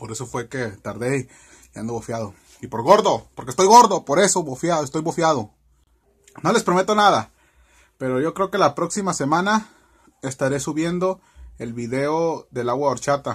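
A man speaks with a fairly high pitch and a somewhat breathy voice, his pitch swinging very widely and his loudness rising and falling sharply, broken by long, frequent pauses. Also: moderate pace, quiet background. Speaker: cooking vlogger. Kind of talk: casual vlog to camera. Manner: animated. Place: home room. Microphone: webcam.

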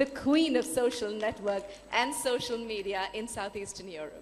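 With an Indian accent, a woman talks at a fairly high pitch with lively intonation. Background noise is noticeable. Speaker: event host. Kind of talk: onstage interview. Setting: stage with audience.

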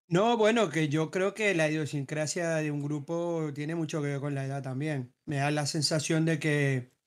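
In a very clean recording with a silent background, a man with an unremarkable speaking voice and a fairly high pitch talks at a fairly slow pace with fairly even intonation. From Uruguay. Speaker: gaming group member. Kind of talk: casual group discussion.

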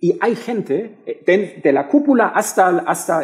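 A man speaks with a German accent and a dark, mellow tone. His pitch swings very widely, and the background is quiet. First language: German (speaking Spanish). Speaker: political science professor. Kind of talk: panel discussion. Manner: halting. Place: hall. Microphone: headset.

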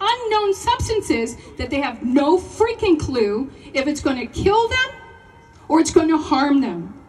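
A passionate woman's voice at a fairly slow pace, with very wide pitch swings and light background noise. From Canada. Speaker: teacher and protest speaker. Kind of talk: protest speech to a rally crowd. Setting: outdoor rally with crowd. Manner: passionate, forceful, rallying and confrontational; call-and-response, asks the crowd questions. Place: open country.

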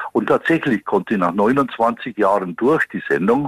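This man has a Bavarian accent and a fairly low pitch. He talks at a moderate pace with ordinary pitch variation, and the sound is dry and close with no echo. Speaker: police detective. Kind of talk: interview answer.

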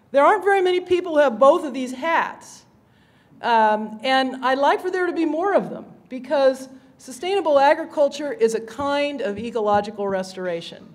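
Here a woman with an American accent talks in a high voice at a moderate pace. Her pitch swings very widely. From Kansas, US Great Plains. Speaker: session moderator and conservationist; conference presenter. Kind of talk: conference talk. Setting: stage with audience. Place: hall. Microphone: podium.

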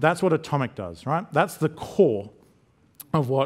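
Over a quiet background, someone speaks with an Australian accent at a moderate pace with ordinary pitch variation. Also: man. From Queensland, Australia. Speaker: technology specialist; conference presenter. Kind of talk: conference talk. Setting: stage with audience. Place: hall.

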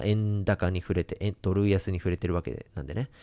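Against a quiet background, a man speaks at a moderate pace in a very deep, low voice with a dark, mellow tone and ordinary pitch variation. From Japan. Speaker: investment YouTuber. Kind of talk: monologue to camera; commentary to camera. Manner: many filler sounds. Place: home room. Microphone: studio mic.

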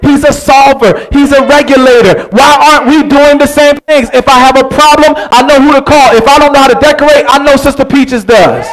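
A man speaks at an extremely high pitch with fairly even intonation. He keeps a moderate pace with hardly any pauses. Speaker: pastor. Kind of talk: sermon. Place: church.

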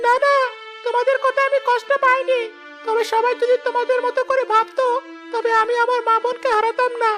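At a moderate pace, the speaker puts on a cartoonish character voice. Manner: gentle, earnest.

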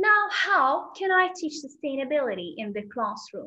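A woman's high-pitched, raised and projected voice, bright and sharp in tone, against a quiet background. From Algeria. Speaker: secondary school English teacher; EFL teacher presenter. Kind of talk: conference presentation. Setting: video call.

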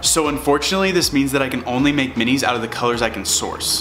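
A man talks at a very fast pace, with light background noise behind him. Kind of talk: tutorial. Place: garage.

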